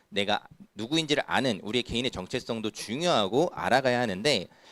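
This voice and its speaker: Recorded dry and close with no echo, a man talks at a fairly quick pace. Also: very clean recording, silent background. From Incheon, South Korea. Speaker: youth pastor. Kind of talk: sermon. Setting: church youth service. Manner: conversational, frequent rhetorical questions.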